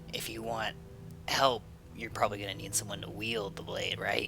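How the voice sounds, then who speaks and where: A whispered, put-on character voice at a moderate pace, over loud background noise. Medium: actual play. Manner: casual, teasing.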